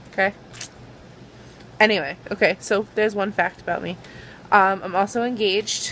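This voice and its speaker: A woman with a Boston accent. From Boston area. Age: 20s. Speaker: YouTuber. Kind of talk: casual vlog.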